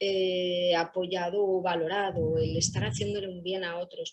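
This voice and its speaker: A woman with an ordinary speaking voice and a fairly low pitch speaks at a fairly slow pace with fairly even intonation. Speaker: employment services professional. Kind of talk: panel talk.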